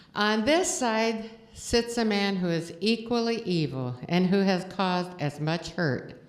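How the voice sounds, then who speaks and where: With audible room echo, a woman at medium pitch speaks in very wide pitch swings. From Estonia. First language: Estonian. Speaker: guest preacher. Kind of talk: sermon. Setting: church.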